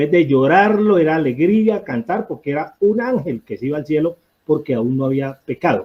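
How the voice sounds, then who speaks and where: His pitch is fairly high for a man. The man's intonation is lively. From Colombian Pacific coast (Barbacoas, Nariño). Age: 60s. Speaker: audience participant. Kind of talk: public discussion comment. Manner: halting, many fillers.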